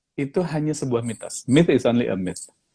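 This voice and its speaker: Lively in intonation, a man speaks in an ordinary speaking voice at a fairly high pitch. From Indonesia. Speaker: professional facilitator. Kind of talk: casual interview chat. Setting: Instagram live video. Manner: code-switching Indonesian and English.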